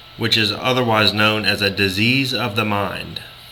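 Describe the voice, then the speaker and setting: A man's medium-pitched voice at a moderate pace with fairly even intonation, audible room echo and noticeable background noise. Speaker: video blogger. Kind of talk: opinion monologue. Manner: loud; passionate, intense.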